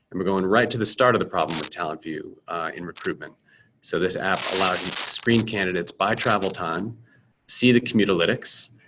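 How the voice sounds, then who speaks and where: A man with an American accent talks at a fairly quick pace in a fairly low, bright and sharp tone. His pitch varies in an ordinary way over noticeable background noise. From United States. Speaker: startup founder and CEO. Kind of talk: product presentation. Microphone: webcam.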